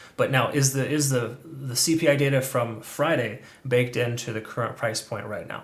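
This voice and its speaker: The man speaks at a medium pitch with fairly even intonation. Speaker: crypto trading analyst. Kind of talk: market analysis video commentary. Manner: fast; casual, filler-heavy.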